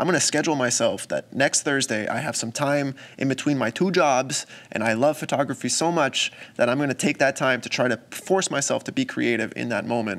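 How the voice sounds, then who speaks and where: Pitch varies in an ordinary way as the speaker talks at a fairly quick pace. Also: man, fairly high pitch for a man. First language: not English. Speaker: photographer and content creator. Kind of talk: casual vlog talk to camera. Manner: casual, conversational.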